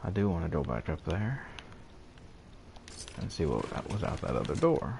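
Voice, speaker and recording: A man speaks quietly at a moderate pace in a very deep, low voice with vocal fry. His pitch swings very widely. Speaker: gaming streamer. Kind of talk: casual gameplay commentary with chat. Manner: quiet, holding voice down.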